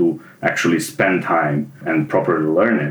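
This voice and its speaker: A man with a Serbian accent, moderate pace and lively intonation. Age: 30s. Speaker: junior web developer, former theatre automation technician. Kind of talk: interview.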